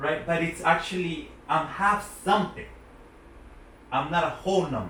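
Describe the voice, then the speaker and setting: Through audible room echo and noticeable background noise, a man speaks at a high pitch with ordinary pitch variation. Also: moderate pace. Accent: American. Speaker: interviewer. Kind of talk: interview.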